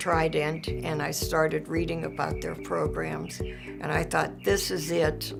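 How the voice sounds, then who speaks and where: A woman speaks at a very slow pace in a very deep, low pitch, with very wide pitch swings. Music plays in the background. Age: 80s+. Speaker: graduate student. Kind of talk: interview answer.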